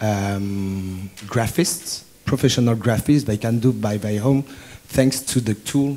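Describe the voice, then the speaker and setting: A man's fairly low voice in a French accent, very slow in pace, with ordinary pitch variation. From France. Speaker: student asking a question. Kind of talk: audience question at symposium. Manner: halting.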